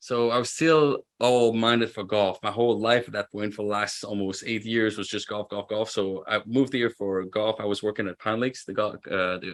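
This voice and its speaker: Against a silent background in a very clean recording, a man with fairly low pitch talks with fairly even intonation and hardly any pauses. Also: moderate pace. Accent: French Canadian. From Quebec, French Canada. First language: French. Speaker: roofing business owner. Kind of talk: podcast interview.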